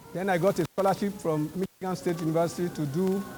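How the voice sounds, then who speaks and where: Amid noticeable background noise, a man with a high pitch talks at a moderate pace with fairly even intonation. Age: 80s+. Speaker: veteran journalist. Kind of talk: storytelling speech at a celebration.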